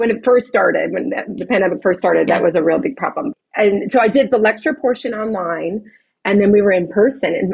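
With an American accent, a woman speaks in a fairly high, somewhat breathy voice and lively intonation. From Chicago. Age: 40s. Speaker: esthetician and spa owner. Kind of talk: interview.

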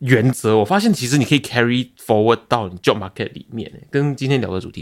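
A man talks at a fairly quick pace at medium pitch, with an ordinary speaking voice. The recording is very clean, with a silent background. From Malaysia. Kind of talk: casual chat.

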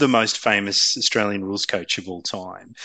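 This man talks at a moderate pace with a bright, sharp tone. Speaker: podcast host. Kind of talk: interview.

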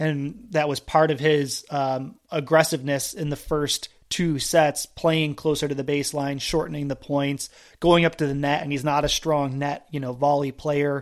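Hardly pausing at all, a man with a fairly high pitch speaks at a moderate pace in a monotone, flat way on a very clean recording with a silent background. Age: 30s. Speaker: tennis podcast host. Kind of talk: casual chat.

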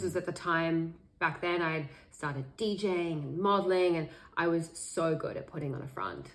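An Australian accent with audible room echo. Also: woman. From Sydney, Australia. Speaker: meditation teacher. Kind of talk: podcast interview.

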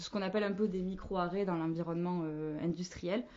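With flat, monotone intonation, a woman talks in a fairly low voice. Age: 20s. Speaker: marketing manager. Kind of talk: casual chat.

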